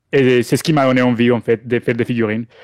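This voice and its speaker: Delivered at a very fast pace with fairly even intonation, the speech has a dry, close sound with no echo. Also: man. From Colombia. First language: Spanish (speaking French). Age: 30s. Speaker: 3D miniature sculptor. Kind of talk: podcast interview. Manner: halting.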